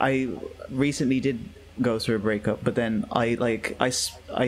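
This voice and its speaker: With an English accent, a man talks in a monotone with flat intonation. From England. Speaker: podcast co-host. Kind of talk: casual chat.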